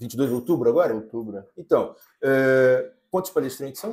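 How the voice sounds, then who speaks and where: Pitch swinging very widely, a man keeps his speech at a moderate tempo. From Brazil. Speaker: podcast host. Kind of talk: casual podcast chat. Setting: cafe, recording on location. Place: studio. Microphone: lapel.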